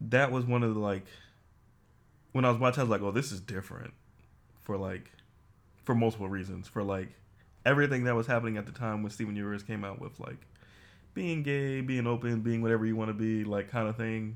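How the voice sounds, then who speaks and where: In an animated tone, a man talks at a very fast pace, with long, frequent pauses. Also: medium pitch for a man. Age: 30s. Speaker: podcast co-host. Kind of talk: casual chat. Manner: animated, joking.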